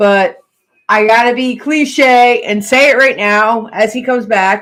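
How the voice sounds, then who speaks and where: A woman talks loudly at a high pitch and a fairly slow pace, her tone animated. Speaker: pirate history podcast host. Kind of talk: casual live-stream chat.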